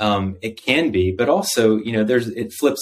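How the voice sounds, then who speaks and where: With an American accent, a man speaks at a fairly low pitch with ordinary pitch variation on a very clean recording with a silent background. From United States. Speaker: doctor. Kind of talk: interview. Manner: conversational, hesitant with many fillers.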